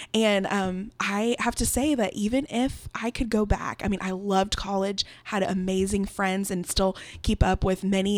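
Speaking at a fairly slow pace, a woman has a medium pitch, fairly even intonation and an unremarkable speaking voice. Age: 20s. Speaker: event coordinator. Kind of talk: casual chat.

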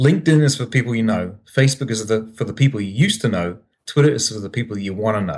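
A man with a medium-pitched voice speaks at a very fast pace with ordinary pitch variation. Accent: New Zealand. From New Zealand. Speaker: startup founder. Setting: video call from Japan.

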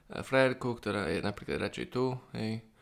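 A man talks with ordinary pitch variation and an unremarkable speaking voice at a moderate pace, recorded very cleanly against a silent background. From Slovakia, Bratislava. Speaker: podcast co-host, Java programmer. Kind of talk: casual chat.

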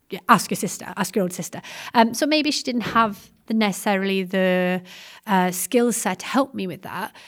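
A woman speaks with a South Welsh accent on a very clean recording with a silent background. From South Wales. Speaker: secondary history teacher and researcher. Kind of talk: interview about education research.

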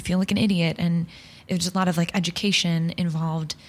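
Fairly low in pitch and somewhat breathy, a woman speaks at a fairly quick pace. Her intonation stays fairly even. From Long Island, New York. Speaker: improv performer. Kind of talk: casual interview chat.

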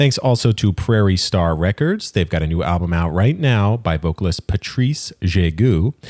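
In a normal speaking voice, a man with a fairly low pitch talks at a moderate pace with lively intonation, hardly any pauses and very even loudness, recorded dry and close with no echo on a very clean, silent background. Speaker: podcast producer and announcer. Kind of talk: scripted intro and sponsor reads.

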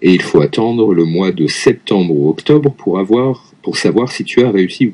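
With lively intonation, a man speaks in a fairly low voice of dark, mellow tone. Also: moderate pace. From Lyon, France. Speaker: French teacher. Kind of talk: casual chat. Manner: halting.

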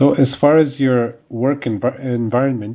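A man talks at a moderate pace with a medium pitch and fairly even intonation. It is an unremarkable speaking voice. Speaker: podcast host. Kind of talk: interview.

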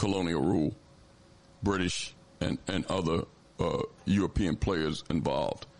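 A man speaks with an American accent. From Philadelphia. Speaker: radio host. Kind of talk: radio hosting, interview and call-in. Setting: radio studio broadcast.

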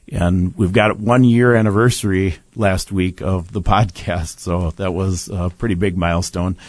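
A man with a normal speaking voice talks at a moderate pace and a fairly low pitch. His intonation is fairly even, and the background is quiet. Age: 60s. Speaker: bereaved father and medical-justice advocate. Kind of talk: studio interview. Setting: studio.

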